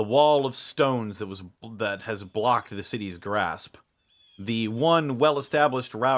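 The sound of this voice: Against a quiet background, an unforced reading voice shows ordinary pitch variation.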